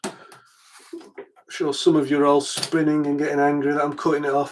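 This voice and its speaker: A man talks with a Yorkshire accent. His pace is moderate. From Yorkshire, northern England. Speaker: electronics repair youtuber. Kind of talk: live stream repair tutorial. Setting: live stream at home workbench. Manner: casual, hesitant with fillers.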